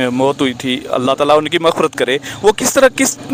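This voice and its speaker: Recorded with a dry, close sound and no echo but noticeable background noise, a man speaks at a fairly high pitch with ordinary variation. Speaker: interviewer. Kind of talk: interview questions.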